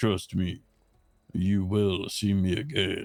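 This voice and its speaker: A man uses a put-on character voice at fairly low pitch. He speaks at a very slow pace. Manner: low-energy, quiet.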